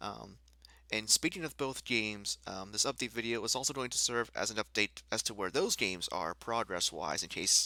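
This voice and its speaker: A soft-spoken voice with a bright, sharp tone talks at a moderate pace with ordinary pitch variation. The recording is very clean with a silent background and a dry, close sound with no echo. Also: man, fairly low pitch for a man. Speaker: gaming YouTuber. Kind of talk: casual vlog update. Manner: quiet, soft-spoken; hesitant, many fillers.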